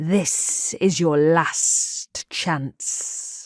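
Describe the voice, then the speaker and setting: A put-on character voice at a middle pitch comes out hissing, with a menacing tone. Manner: hissing, menacing.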